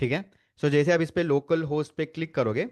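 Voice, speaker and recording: A man talks in a normal speaking voice, fairly high in pitch, at a moderate pace. The sound is dry and close with no echo, over a quiet background. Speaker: data analytics instructor. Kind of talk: live online lecture. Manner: Hindi-English code-switching.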